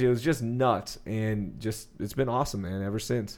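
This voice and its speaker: A man has an unremarkable speaking voice with fairly even intonation and a moderate pace. The recording is very clean, with a silent background. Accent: American. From Texas, Sugar Land near Houston. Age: 30s. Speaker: sports radio host. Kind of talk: casual chat.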